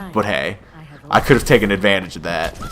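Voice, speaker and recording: A man at a very fast pace. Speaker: gaming youtuber. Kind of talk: gameplay commentary. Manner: animated; casual.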